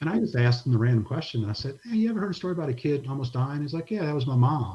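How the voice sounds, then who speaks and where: With an American accent, a man speaks at a very fast pace in a fairly high, somewhat breathy voice with a dark, mellow tone and very wide pitch swings. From New Orleans, US South. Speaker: pastor and disaster relief ministry director. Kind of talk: casual interview, testimony. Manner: soft-spoken.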